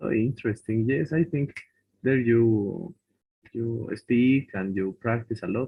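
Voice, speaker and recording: Speaking with a Bolivian accent at a very slow pace, the voice shows ordinary pitch variation and long, frequent pauses. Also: man. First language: Spanish. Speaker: language student. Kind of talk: casual chat in English class. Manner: halting.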